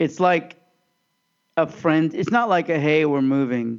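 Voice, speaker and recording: Fairly high male voice, its pitch varying in an ordinary way. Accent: American. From US Midwest, Overland Park, Kansas. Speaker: podcast co-host. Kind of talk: casual chat.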